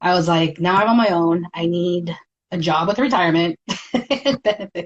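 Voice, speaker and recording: At a moderate pace, a woman talks in a fairly low pitch with ordinary pitch variation and very even loudness, the sound dry and close with no echo. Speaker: heavy equipment mechanic. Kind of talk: interview answer. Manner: soft-spoken.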